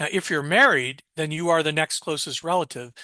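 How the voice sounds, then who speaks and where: Fairly quick and fairly even in intonation, a man's fairly high voice has a bright, sharp tone, with a dry, close sound, no echo and a quiet background. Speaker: estate planning attorney. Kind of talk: webinar presentation. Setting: webinar. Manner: fast.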